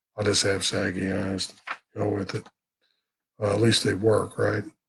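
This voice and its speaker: Somewhat breathy, a man speaks at a moderate pace. His intonation is monotone and flat. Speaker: vlogger with Parkinson's. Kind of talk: live stream talk. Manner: halting.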